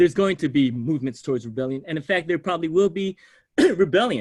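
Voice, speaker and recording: A man's fairly high pitch with very wide pitch swings, against a quiet background. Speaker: sociology professor. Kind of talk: lecture. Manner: fast.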